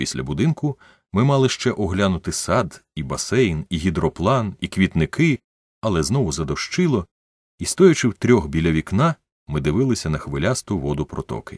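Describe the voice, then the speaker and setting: Against a quiet background, a man with a very deep, low voice and vocal fry makes very wide pitch swings, in a dry, close sound with no echo. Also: moderate pace. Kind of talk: literary audiobook reading. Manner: measured, narrative storytelling pace, voicing dialogue with shifts in tone.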